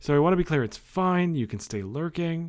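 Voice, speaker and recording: In a very clean recording with a silent background, a man with a normal speaking voice talks at a fairly quick pace with lively intonation. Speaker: game streamer. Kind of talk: casual chat. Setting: live stream.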